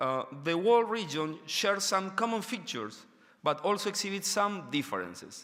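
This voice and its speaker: Speaking at a moderate pace, a man with a non-native accent has a high pitch. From Argentina. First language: Spanish. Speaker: education researcher. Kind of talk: conference lecture. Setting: stage with audience. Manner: halting, many fillers; reading from paper.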